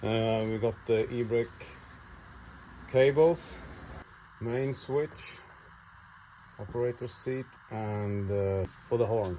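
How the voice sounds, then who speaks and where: The speaker talks at a very slow pace with a Swedish accent and long, frequent pauses. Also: man, medium pitch for a man, ordinary pitch variation. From Sweden. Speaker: YouTube mechanic / tractor restorer. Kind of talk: casual workshop vlog narration. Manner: hesitant, with many fillers.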